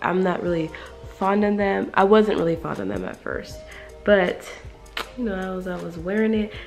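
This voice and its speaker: Faint music plays in the background as a woman talks at a moderate pace and medium pitch with fairly even intonation. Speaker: beauty YouTuber. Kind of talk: casual talk to camera. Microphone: phone near.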